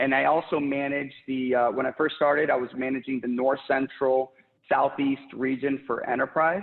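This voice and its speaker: A man talks at a moderate pace and a medium pitch. His intonation is flat and monotone. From Puerto Rico, then Texas and Florida. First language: Spanish. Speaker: sales leader. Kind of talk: interview.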